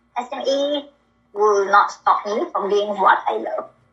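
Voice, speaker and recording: Lively intonation in a woman's raised, projected voice. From Malaysia. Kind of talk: interview. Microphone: connection broke up.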